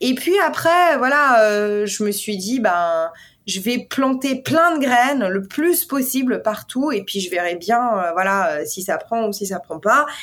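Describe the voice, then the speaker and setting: The speaker goes at a very slow pace with lively intonation. The recording is very clean, with a silent background. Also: woman. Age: 30s. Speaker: portrait photographer. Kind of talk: interview.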